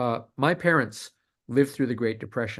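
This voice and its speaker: This man's voice sits at a medium pitch with ordinary pitch variation. The background is quiet. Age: 60s. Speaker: science fiction author. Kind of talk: casual interview. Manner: halting, many fillers and restarts.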